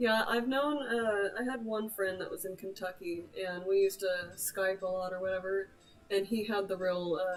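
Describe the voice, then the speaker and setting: With music in the background, a woman speaks in a slight Oklahoma accent at medium pitch, moderate pace and fairly even intonation. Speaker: gamer / livestreamer. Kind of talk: casual chat. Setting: livestream.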